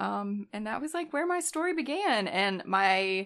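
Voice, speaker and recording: In a Southern US accent, a woman with a bright, sharp tone and medium pitch speaks in a very clean recording with a silent background. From North Alabama. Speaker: nurse. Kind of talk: casual chat. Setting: home studio.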